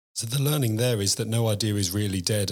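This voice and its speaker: Speaking very fast in an English accent, this voice keeps a fairly even intonation on a very clean recording with a silent background. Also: man. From England. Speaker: podcast host. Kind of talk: interview.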